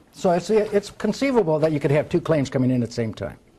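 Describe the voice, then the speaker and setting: A man's fairly high voice with a dark, mellow tone, lively intonation and a very fast pace. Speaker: lawyer. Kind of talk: seminar lecture. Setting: live seminar with audience.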